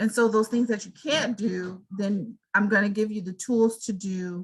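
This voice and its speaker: Somewhat breathy and medium-pitched, a woman speaks at a fairly slow pace with fairly even intonation and big swings in loudness. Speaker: college instructor. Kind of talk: online class Q&A.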